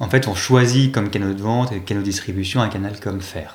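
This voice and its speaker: A man speaks in a somewhat breathy voice. Room echo can be heard. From Paris region, France. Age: 30s. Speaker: tech company executive. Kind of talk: interview. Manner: hesitant with fillers.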